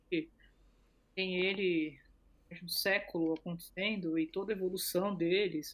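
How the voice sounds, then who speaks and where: This woman talks at a medium pitch with fairly even intonation. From Brazil. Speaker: co-founder of women's football project. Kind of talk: interview.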